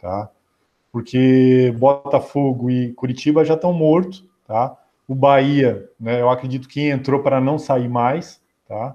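The voice has a dark, mellow tone and fairly even intonation, moving at a very slow pace. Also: man, medium pitch for a man. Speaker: football podcast host. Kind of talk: casual chat.

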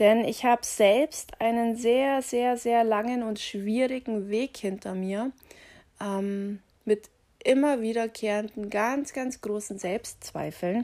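A woman's fairly high voice with a dark, mellow tone, very slow delivery and fairly even intonation, on a very clean recording with a silent background. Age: 30s. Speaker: personal coach and podcast host. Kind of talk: motivational podcast monologue.

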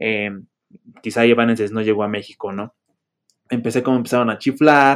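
A man speaks at a medium pitch and a fairly quick pace. His intonation stays fairly even, broken by long, frequent pauses. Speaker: podcast host. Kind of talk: casual chat.

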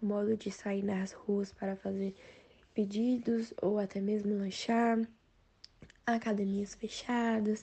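Speaking fairly slowly, a woman uses a somewhat breathy, medium-pitched voice and fairly even intonation. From Brasília, Brazil. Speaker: student. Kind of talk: class presentation.

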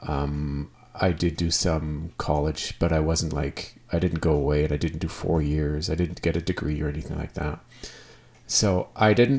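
In a western Canadian accent, a man speaks at a very deep, low pitch with fairly even intonation. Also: moderate pace. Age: 40s. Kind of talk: casual monologue. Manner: halting.

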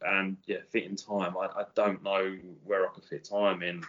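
Here is a man with a fairly low pitch. He has a British accent. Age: 40s. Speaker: electrician. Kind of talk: casual chat.

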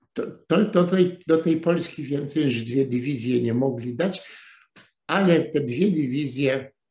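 A man speaks fairly slowly in a fairly high, somewhat breathy voice with ordinary pitch variation. Room echo is audible. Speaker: retired journalist lecturing on history. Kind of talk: lecture. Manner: halting, with repetitions.

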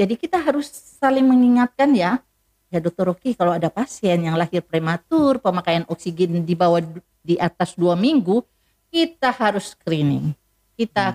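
Medium-pitched woman's voice with lively intonation, very even loudness and a moderate pace, in a dry, close sound with no echo. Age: 60s. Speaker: eye specialist doctor. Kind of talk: health talk interview. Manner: hesitant with fillers.

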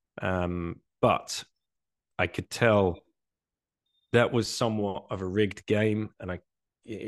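Against a quiet background, a man with a southeast English accent speaks at a fairly low pitch in a monotone, flat way, the sound dry and close with no echo. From England, Essex. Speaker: bitcoin advocate, former finance worker. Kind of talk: casual interview. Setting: video call.

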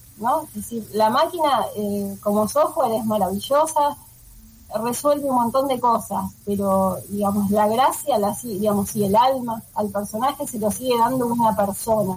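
A fairly high-pitched woman's voice at a moderate pace, with ordinary pitch variation. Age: 40s. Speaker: animator. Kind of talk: interview. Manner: halting.

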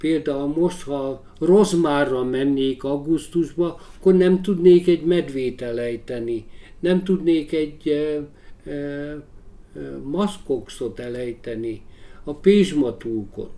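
This man's fairly high-pitched voice has a dark, mellow tone, ordinary pitch variation and a very slow pace. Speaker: big-game hunter and author. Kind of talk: interview. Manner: halting.

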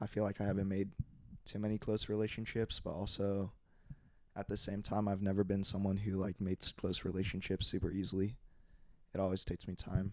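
At a fairly quick pace, a man with a fairly low pitch talks in a monotone, flat intonation. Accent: American. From Plano, Texas. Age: young. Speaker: pre-med college student. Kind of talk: casual chat.

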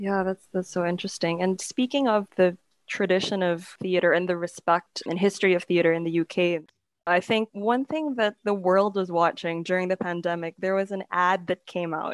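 On a very clean recording with a silent background, a woman with an unremarkable speaking voice talks at a medium pitch and moderate pace, using ordinary pitch variation. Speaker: podcast host. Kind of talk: casual interview.

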